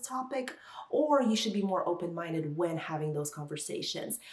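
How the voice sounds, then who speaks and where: Over noticeable background noise, a woman speaks at a moderate pace in a Russian accent. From Kazakhstan. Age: 30s. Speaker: lifestyle vlogger. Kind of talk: casual vlog talk.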